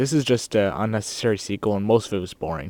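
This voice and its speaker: A man at medium pitch with ordinary variation, a fairly quick pace, and a dry, close sound with no echo. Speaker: movie reviewer vlogger. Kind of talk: casual video review. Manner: fast; halting, many fillers.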